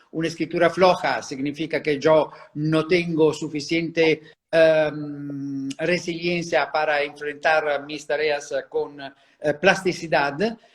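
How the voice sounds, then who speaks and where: A very slow, monotone, flat delivery from a man with a fairly high voice and an Italian accent. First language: Italian (speaking Spanish). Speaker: handwriting psychology expert. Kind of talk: interview. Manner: halting, many fillers.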